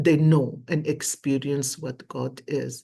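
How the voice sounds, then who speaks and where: Against a quiet background, a somewhat breathy voice carries an animated tone. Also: woman. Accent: Lebanese. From Lebanon. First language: Arabic. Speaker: tarot and coffee cup reader. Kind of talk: psychic reading monologue.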